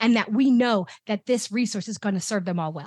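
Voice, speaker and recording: On a very clean recording with a silent background, a woman with a somewhat breathy voice speaks at a fairly quick pace. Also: dry, close sound with no echo. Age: 50s. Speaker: education equity executive. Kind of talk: interview.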